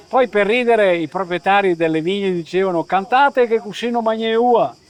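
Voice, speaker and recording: Recorded dry and close with no echo, a man speaks at a moderate pace in a high voice. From Caneva, Friuli (Veneto border). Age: 60s. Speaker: folk singer. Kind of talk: interview.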